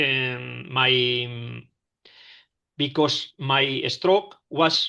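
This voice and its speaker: A man with a Spanish accent talks in a bright, sharp tone with fairly even intonation over a quiet background. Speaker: stroke survivor. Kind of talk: testimony. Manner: halting.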